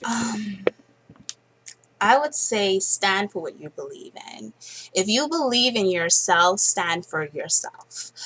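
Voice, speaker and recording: Speaking very slowly with long, frequent pauses, a woman at medium pitch uses lively intonation and big swings in loudness over noticeable background noise. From Bahamas. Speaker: fashion model. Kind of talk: interview.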